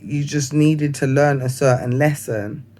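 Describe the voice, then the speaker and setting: A man talks at a fairly slow pace. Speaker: vlogger. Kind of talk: casual monologue. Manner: halting.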